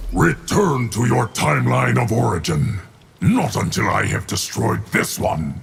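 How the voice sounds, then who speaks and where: A man does a put-on character voice, pitched very deep and low. He moves at a moderate pace with very wide pitch swings. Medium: video game. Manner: stern.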